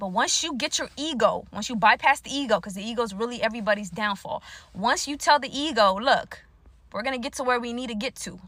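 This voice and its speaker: Very fast and high-pitched, a woman's bright, sharp voice shifts widely in loudness with ordinary pitch variation, recorded very cleanly against a silent background. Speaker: spiritual speaker. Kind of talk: motivational monologue. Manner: casual.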